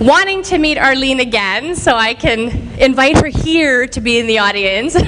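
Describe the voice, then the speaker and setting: A woman with a Canadian accent and very wide pitch swings, plus audible room echo and noticeable background noise. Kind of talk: inspirational speech. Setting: stage with audience. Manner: animated; loud.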